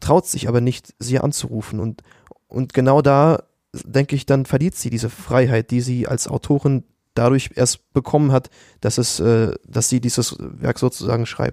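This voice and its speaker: Dark, mellow tone at a moderate pace, fairly even intonation, and a dry, close sound with no echo. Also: man, medium pitch for a man. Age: 20s. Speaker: university student. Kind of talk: casual academic discussion.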